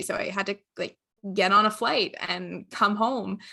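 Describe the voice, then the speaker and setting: Over a quiet background, a woman with a bright, sharp tone and vocal fry talks at a moderate pace, medium pitch and fairly even intonation. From Newfoundland, Canada. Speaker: medical and engineering graduate student. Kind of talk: casual chat.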